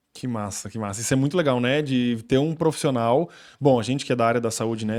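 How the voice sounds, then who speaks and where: Male speech with ordinary pitch variation, recorded very cleanly against a silent background. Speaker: podcast host. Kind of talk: casual chat. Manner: talkative.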